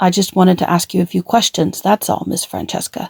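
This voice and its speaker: A woman with a raspy, medium-pitched put-on character voice talks at a fairly quick pace in a flat monotone, recorded dry and close with no echo. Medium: read story. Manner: fast, pushy, probing.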